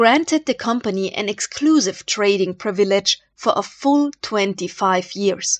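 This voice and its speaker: A woman with an Austrian accent at a fairly slow pace, her pitch swinging very widely, in a dry, close sound with no echo. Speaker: history YouTuber. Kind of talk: scripted narration.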